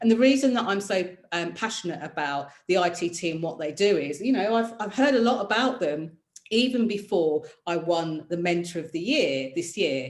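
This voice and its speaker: This woman speaks with a British accent at a fairly low pitch. Her tone is animated and her intonation lively. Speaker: career mentor and presenter. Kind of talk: online masterclass. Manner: fast.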